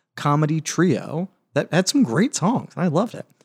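On a very clean recording with a silent background and a dry, close sound with no echo, a man speaks at a moderate pace. His dark, mellow tone moves through very wide pitch swings. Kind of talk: casual chat.

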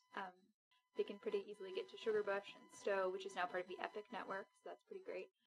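A woman with an American accent talks at a very fast pace. Her loudness swings widely. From Alabama, US South. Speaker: chief resident physician. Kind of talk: casual interview.

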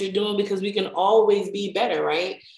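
A woman speaks at a moderate pace and a medium pitch in an animated tone. Room echo can be heard. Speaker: podcast host. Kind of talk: casual chat.

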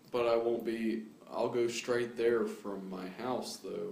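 Amid noticeable background noise and audible room echo, a man talks at a fairly slow pace with fairly even intonation. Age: 20s. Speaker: podcast host. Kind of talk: casual chat.

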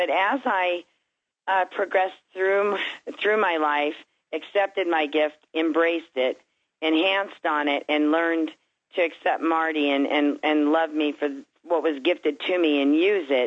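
This woman has a plain, everyday voice, fairly low in pitch, with ordinary pitch variation. She speaks at a fairly slow pace with very even loudness. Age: 60s. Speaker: medium and author. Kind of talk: interview.

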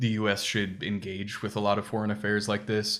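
A man speaks with a fairly low pitch. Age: 20s. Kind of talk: casual chat. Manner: halting.

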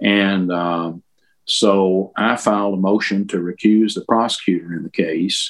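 A man talks at a fairly slow pace with a fairly low pitch. His intonation stays fairly even. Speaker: lawyer. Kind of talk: casual interview.

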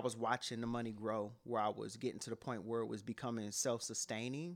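A man with an American accent has an unremarkable speaking voice. He speaks at a medium pitch and a fairly quick pace. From Cleveland, Ohio, US. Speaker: rapper and author. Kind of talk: interview.

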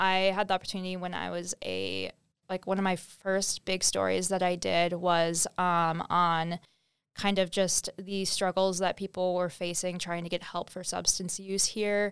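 At a fairly slow pace, a woman speaks with monotone, flat intonation in a dry, close sound with no echo. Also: medium pitch for a woman, very clean recording, silent background. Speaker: student managing editor. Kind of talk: casual chat.

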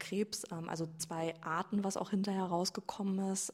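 The woman's voice is somewhat breathy. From Germany, Sauerland (Iserlohn). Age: 20s. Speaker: coaching client, physiotherapist. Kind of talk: personal testimony in interview.

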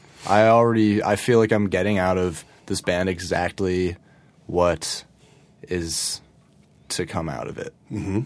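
A man with a Californian accent and a very deep, low pitch, fairly slow with long, frequent pauses and ordinary pitch variation, in a very clean recording with a silent background. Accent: sounds Californian. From Connecticut, Fairfield County. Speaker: rock musician. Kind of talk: casual chat. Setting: studio. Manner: laid-back.

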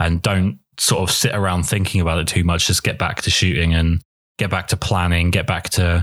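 A man's low-pitched voice with a fairly bright tone, little pitch movement and a moderate pace

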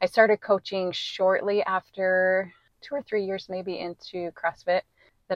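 Calm and monotone with flat intonation, a woman with an American accent speaks fairly slowly at a medium pitch in a dry, close sound with no echo. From US West, southwest Wyoming. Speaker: real estate appraiser and fitness coach. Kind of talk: casual interview chat.

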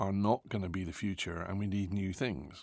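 This is a man with a plain, everyday voice. He speaks at a fairly low pitch and a moderate pace. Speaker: co-host and business guest interviewer. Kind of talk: casual interview conversation. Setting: studio.

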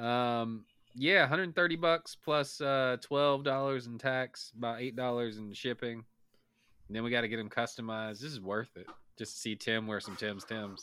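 A man with an American accent speaks fairly slowly in a bright, sharp tone with ordinary pitch variation. The recording is very clean, with a silent background. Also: medium pitch for a man. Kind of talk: casual banter.

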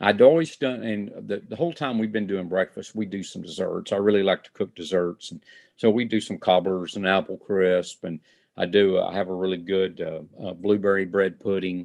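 Speaking with a Texan accent, a man has a fairly low pitch and a moderate pace. His loudness swings a lot. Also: ordinary pitch variation. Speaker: fire chief and chuck wagon cook. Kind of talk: interview.

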